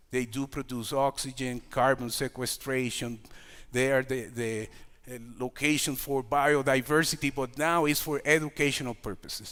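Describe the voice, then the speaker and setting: Recorded very cleanly against a silent background, a man with a Puerto Rican accent speaks with fairly even intonation. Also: medium pitch for a man, moderate pace. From Puerto Rico. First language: Spanish. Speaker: community organization leader. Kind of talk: lecture. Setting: stage with audience. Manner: halting.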